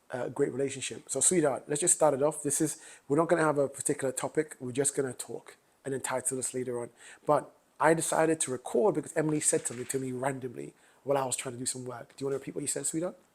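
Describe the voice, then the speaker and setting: Speaking very fast, a man with a London accent keeps his intonation fairly even. His pitch is fairly high. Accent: UK accent, a bit of London. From London, UK (born Grenada, moved at seven). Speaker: podcast co-host. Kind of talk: casual chat.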